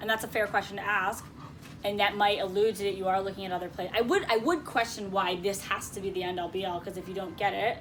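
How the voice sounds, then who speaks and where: With noticeable background noise, a woman with an American accent talks at a very fast pace in monotone, flat intonation. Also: medium pitch for a woman. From Connecticut, US. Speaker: career coach leading a job seekers group. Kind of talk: workshop discussion.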